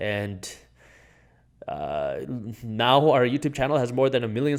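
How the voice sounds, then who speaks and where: Here a man with a non-native accent talks at a fairly quick pace. His pitch is medium, with ordinary variation. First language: not English. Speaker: finance YouTuber and entrepreneur. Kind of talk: interview conversation.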